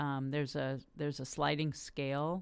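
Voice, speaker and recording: Here a woman with a Californian accent speaks at a moderate pace, her very deep, low pitch carried on fairly even intonation. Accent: Californian American. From US West Coast, Los Angeles. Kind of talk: interview.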